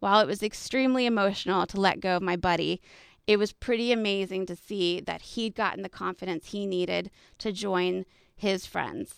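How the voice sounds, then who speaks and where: At a moderate pace, a woman with a plain, everyday voice speaks at medium pitch with ordinary pitch variation on a very clean recording with a silent background. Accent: American. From Texas. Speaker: podcast host and coach. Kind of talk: personal storytelling monologue.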